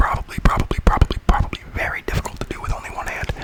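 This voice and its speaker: A man whispers at a very fast pace. Noticeable background noise runs behind him. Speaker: ASMR creator. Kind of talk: ASMR whisper video. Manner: whispered; rambling, repetitive.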